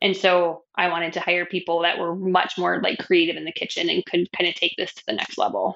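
A woman with a fairly low voice and vocal fry talks at a moderate pace. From New Mexico. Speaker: business owner. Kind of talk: casual interview chat.

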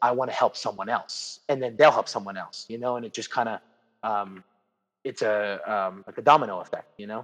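Loudness swings widely as a man with an American accent talks at medium pitch with fairly even intonation. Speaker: jiu-jitsu academy owner and competitor. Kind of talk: casual interview. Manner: loud, expressive.

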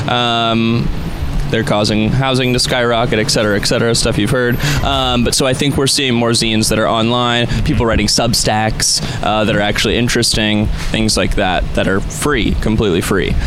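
Over noticeable background noise, a man talks with fairly even intonation and very even loudness. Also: medium pitch for a man, moderate pace. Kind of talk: live radio interview, casual chat. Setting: outdoors street broadcast, live radio. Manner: thoughtful, slightly hesitant with filler words, friendly.

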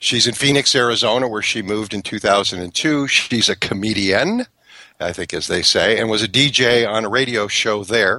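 A man with a medium pitch talks at a moderate speed, his pitch shifting in an ordinary way. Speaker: radio host. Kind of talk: casual chat. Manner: animated.

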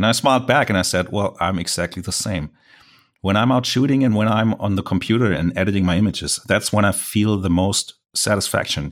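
Fairly quick and fairly low-pitched, a man speaks with a German accent and ordinary pitch variation. The recording is very clean, with a silent background. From Germany. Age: 40s. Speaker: landscape photographer. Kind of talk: interview.

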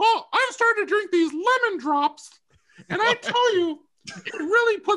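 Putting on a squeaky character voice, a man talks at a moderate pace with an extremely high pitch. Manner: tipsy, enthusiastic.

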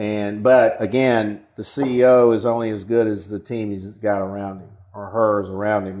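Over a quiet background, a man with an Alabama accent speaks in a fairly low, monotone voice with flat intonation. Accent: Southern US (Alabama). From rural southern Alabama, US South. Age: 50s. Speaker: marketing agency founder and CEO. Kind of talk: interview. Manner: halting, many fillers.

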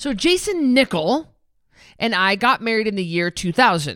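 In a very clean recording with a silent background, a woman with an American accent talks at a moderate pace in an animated tone, her pitch swinging very widely. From rural US, raised on a farm. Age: 40s. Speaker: weight loss podcast host, former professional boxer. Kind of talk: solo podcast monologue.

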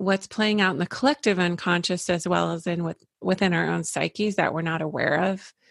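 Over a very clean recording with a silent background and a dry, close sound with no echo, a woman with a fairly low voice and vocal fry talks at a fairly quick pace with ordinary pitch variation. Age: 50s. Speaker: holistic psychologist. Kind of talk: interview conversation.

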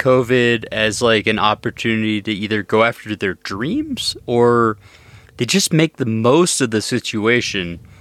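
A man with an ordinary speaking voice and ordinary pitch variation is heard in a dry, close sound with no echo. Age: 30s. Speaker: podcast host and ultrarunner. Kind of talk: casual interview chat.

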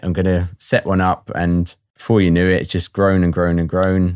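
A man with a southern English accent, a very deep, low pitch and monotone, flat intonation, at a moderate pace, in a very clean, dry, close recording with no echo and a silent background. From southern England (Watford). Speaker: new father, founder of a dads' group. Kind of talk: interview.

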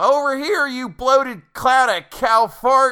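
The put-on character voice is high-pitched. It moves at a fairly slow pace. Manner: hollering, taunting.

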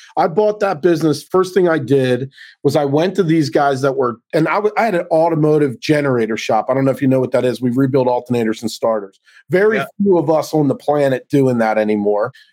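A man talks in an ordinary speaking voice at a fairly quick pace, with a fairly high pitch, lively intonation and very even loudness. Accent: American. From Baltimore, US Mid-Atlantic. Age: 50s. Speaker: business consultant. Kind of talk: podcast interview.

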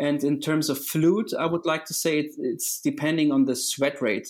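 A man speaks with a fairly high pitch and ordinary pitch variation. The recording is very clean, with a silent background. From Germany. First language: German. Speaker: triathlon coach. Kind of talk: interview. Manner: halting.

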